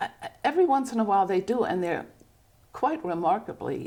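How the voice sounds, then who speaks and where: This woman's fairly high voice has a dark, mellow tone, very wide pitch swings and a fairly quick pace. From Germany. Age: 80s+. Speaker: artist. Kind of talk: casual chat.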